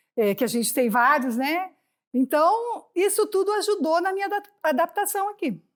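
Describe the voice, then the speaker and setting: A woman talks at a moderate pace with lively intonation on a very clean recording over a silent background. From Brazil, interior of São Paulo state. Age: 60s. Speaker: retired Olympic volleyball player. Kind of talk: interview.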